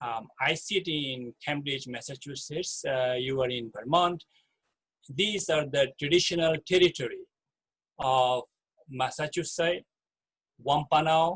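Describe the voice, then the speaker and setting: With a Bangladeshi accent, a man talks at a fairly slow pace with ordinary pitch variation and long, frequent pauses, in a dry, close sound with no echo. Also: fairly high pitch for a man. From Chittagong Hill Tracts, Bangladesh. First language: Marma. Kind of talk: talk sharing personal story. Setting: video call. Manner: hesitant, with fillers.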